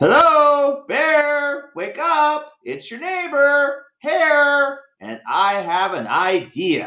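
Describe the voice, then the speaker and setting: A put-on character voice with a high pitch goes at a very slow pace with hardly any pauses. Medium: read story. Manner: smooth, persuasive.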